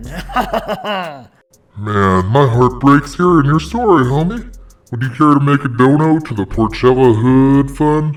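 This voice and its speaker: Putting on a character voice, a man talks at a fairly slow pace in a fairly high pitch. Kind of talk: comedy parody hotline host. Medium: role play. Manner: exaggerated, slangy.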